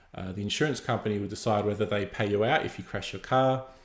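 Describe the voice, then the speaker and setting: A man's fairly low voice at a fairly quick pace, with fairly even intonation and audible room echo. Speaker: developer advocate giving a guest lecture. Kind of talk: lecture. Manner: fast; many fillers and repetitions.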